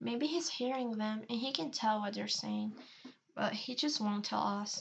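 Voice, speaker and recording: A woman talks at a fairly slow pace in a somewhat breathy voice, her pitch fairly high and its variation ordinary. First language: Spanish. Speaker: video artist. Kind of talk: casual chat.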